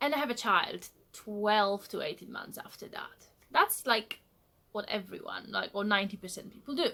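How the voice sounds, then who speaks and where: Speaking at a moderate pace, a woman talks with a Polish accent. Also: big swings in loudness. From Poland. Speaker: vlogger. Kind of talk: casual vlog monologue. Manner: direct, blunt.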